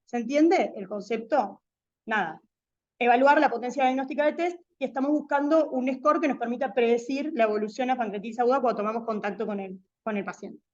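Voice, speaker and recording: A woman's high-pitched voice at a fairly quick pace, with ordinary pitch variation and a quiet background. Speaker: medical lecturer. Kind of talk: lecture. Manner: fast.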